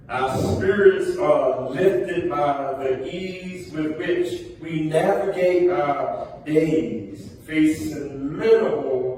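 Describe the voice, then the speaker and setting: A man talks very slowly in a fairly high voice with lively intonation. Audible room echo and noticeable background noise fill the recording. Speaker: preacher. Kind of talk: sermon.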